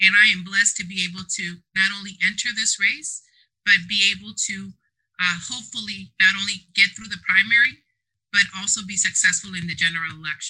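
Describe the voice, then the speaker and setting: A woman's medium-pitched voice with a bright, sharp tone, fairly even intonation, big swings in loudness, and a fairly quick pace. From Southeast San Diego. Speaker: political candidate and community organizer. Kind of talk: interview.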